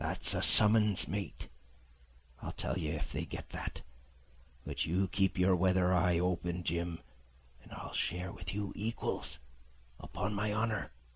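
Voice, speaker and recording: A man puts on a gruff character voice with very deep, low pitch. He speaks at a fairly slow pace with long, frequent pauses. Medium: read story. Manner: gruff sailor slang, salty and rough.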